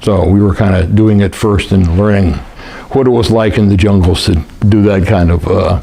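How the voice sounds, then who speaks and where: With an American accent, a man speaks at a moderate pace and fairly low pitch, with fairly even intonation and very even loudness. Background noise is noticeable. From US West, Lake Tahoe area. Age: 70s. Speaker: war veteran. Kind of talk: oral history interview. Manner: halting, many fillers.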